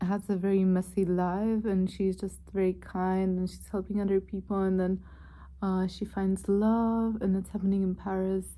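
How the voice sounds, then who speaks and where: A woman talks at a moderate pace in a medium-pitched, somewhat breathy voice with a dark, mellow tone and monotone, flat intonation. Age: 20s. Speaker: book vlogger. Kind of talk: casual chat.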